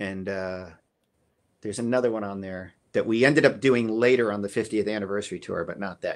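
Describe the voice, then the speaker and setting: At a moderate pace, a man talks in a medium-pitched voice against a quiet background. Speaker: drummer; guest. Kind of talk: casual chat. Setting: video call. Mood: relaxed, reflective storytelling. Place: home room. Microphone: video call.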